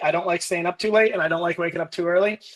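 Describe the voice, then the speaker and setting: A man speaks loudly in a high pitch. His tone is intense. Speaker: business leader and army veteran. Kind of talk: interview. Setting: live video podcast. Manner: loud, intense.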